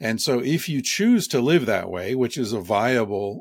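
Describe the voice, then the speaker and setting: Delivered at a fairly slow pace, a normal speaking voice comes through on a very clean recording with a silent background. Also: man. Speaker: author. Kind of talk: interview answers, explanatory talk.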